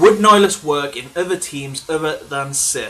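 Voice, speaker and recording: A man with an English accent speaks at a fairly slow pace with lively intonation. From England. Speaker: gaming channel host. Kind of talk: live stream Q&A chat.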